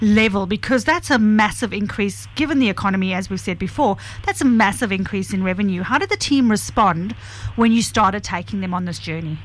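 At a fairly quick pace, a woman talks in a normal speaking voice of medium pitch with ordinary pitch variation. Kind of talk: live radio co-host patter, wrapping up before an ad break. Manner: quick, chatty and breezy, with easy on-air banter.

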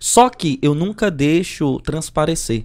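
A man with a northeastern Brazilian accent speaks in an animated tone at a fairly high pitch, with lively intonation. The recording is very clean, with a silent background. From Brazil, Northeast. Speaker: circus clown and comedian. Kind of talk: casual chat.

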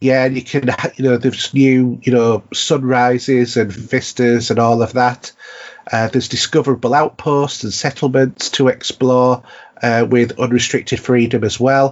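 Against noticeable background noise, a man with a Yorkshire accent speaks at a moderate pace in a medium pitch and a monotone, flat intonation. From North Yorkshire, England. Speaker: podcast host. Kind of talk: casual chat.

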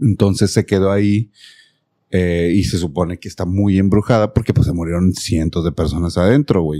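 In a Mexican accent, the speaker goes at a fairly quick pace with ordinary pitch variation and a dark, mellow tone, the sound dry and close with no echo. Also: man. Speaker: podcast host. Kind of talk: casual chat; storytelling.

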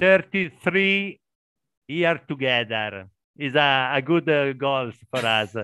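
A man speaks at fairly high pitch with an Italian accent. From Italy. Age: 50s. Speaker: warehouse worker, English learner. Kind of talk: casual group conversation practice. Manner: halting.

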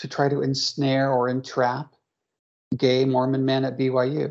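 A woman speaks at a fairly slow pace with a very deep, low pitch and vocal fry. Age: 50s. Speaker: therapist. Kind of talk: interview.

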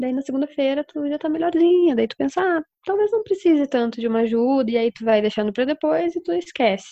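A woman talks very fast with hardly any pauses. Her high voice swings very widely in pitch. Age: 20s. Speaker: university student. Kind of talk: casual chat.

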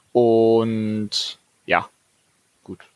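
A man's voice with a dry, close sound and no echo. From Ruhr area, Dortmund. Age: 20s. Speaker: sports fan community organiser. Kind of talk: casual chat.

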